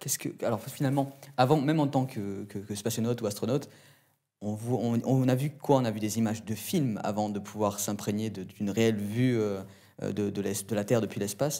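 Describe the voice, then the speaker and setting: This man has a dark, mellow tone. He talks at a moderate pace. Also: ordinary pitch variation, quiet background. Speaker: interviewer. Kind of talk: interview questions. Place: studio.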